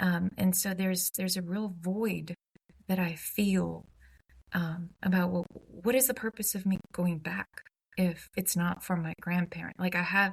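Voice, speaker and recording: Her intonation flat and monotone, a woman speaks at a fairly slow pace with a medium pitch and a somewhat breathy voice. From Croatia, Dubrovnik. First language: Croatian. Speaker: humanities nonprofit executive. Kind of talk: podcast interview. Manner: conversational with many fillers and restarts.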